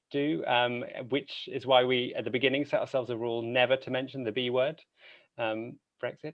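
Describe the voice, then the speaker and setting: A man speaks with a British accent. His pitch is medium. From Britain. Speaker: podcast host and opera singer. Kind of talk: conference talk. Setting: conference stage.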